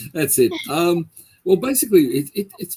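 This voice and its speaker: In a dry, close sound with no echo, a man with an Australian accent speaks in a dark, mellow tone that is somewhat breathy. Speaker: paranormal investigator. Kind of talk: interview.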